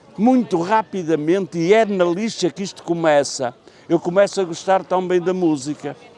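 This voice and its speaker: A man with a high pitch and ordinary pitch variation keeps a moderate pace as noticeable background noise carries on. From Penafiel, northern Portugal. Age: 70s. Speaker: retired sheet-metal worker and writer. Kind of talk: interview answer. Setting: outdoors.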